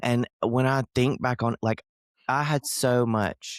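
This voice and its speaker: In a Southern US accent, a man talks at a fairly slow pace. The recording is very clean and silent in the background, with a dry, close sound and no echo. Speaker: Southern humorist, storyteller. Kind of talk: podcast guest, casual conversation.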